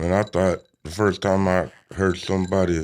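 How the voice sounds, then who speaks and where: This man speaks with a Southern US accent. His pitch is very deep and low. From US South, Georgia. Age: 20s. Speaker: musician. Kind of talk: casual chat.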